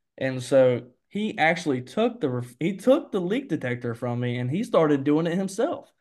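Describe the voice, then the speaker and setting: Over a quiet background, a man with a fairly high pitch talks at a moderate pace, his voice making very wide pitch swings. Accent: Alabama. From US South, Mobile, Alabama. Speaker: HVAC salesman. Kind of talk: casual interview chat.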